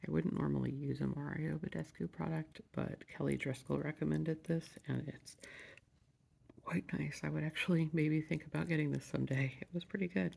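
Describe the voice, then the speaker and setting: Soft-spoken, a man talks at a fairly quick pace. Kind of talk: ASMR soft-spoken product review.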